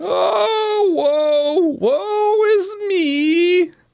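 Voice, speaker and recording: Pitched extremely high, a put-on character voice carries the speech. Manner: weak, struggling, lamenting.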